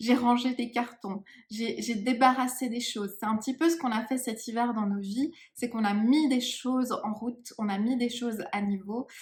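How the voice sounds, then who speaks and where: A woman's high-pitched voice at a moderate pace, with fairly even intonation. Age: 30s. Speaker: psychic medium. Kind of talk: channeling session. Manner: hesitant, many fillers.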